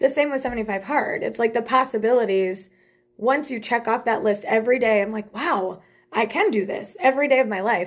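A woman with an ordinary speaking voice talks at a fairly quick pace, her fairly high pitch showing ordinary variation. The recording is very clean, with a silent background. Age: 40s. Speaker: salon owner and hairstylist. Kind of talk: casual interview chat.

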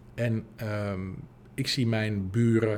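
A fairly low-pitched man talks with monotone, flat intonation. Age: 40s. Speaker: podcast host and business coach. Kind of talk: solo podcast monologue. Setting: empty office.

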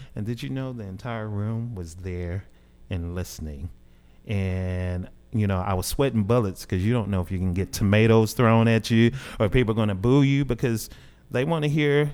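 A man's fairly low-pitched voice with a Southern US accent, at a moderate pace, with ordinary pitch variation. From Southeast Arkansas, US South. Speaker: jazz musician. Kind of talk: interview. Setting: radio studio.

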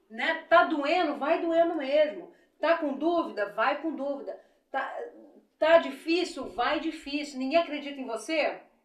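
Very slow speech with audible room echo. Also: woman. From Rio de Janeiro state, Brazil (Belford Roxo). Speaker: businesswoman, beauty school owner. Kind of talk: interview, life story.

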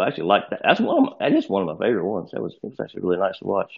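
Here is a man speaking. His pace is very fast. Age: 50s. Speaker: mobile game player. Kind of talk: casual chat.

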